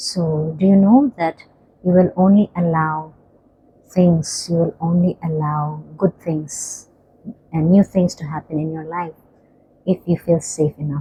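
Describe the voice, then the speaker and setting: Soft-spoken and relaxed in tone, a woman speaks in a fairly low pitch at a fairly slow pace with fairly even intonation and long, frequent pauses. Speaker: spiritual healing coach. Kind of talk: guided breathing and healing talk. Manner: soft, relaxed; slow counting pace.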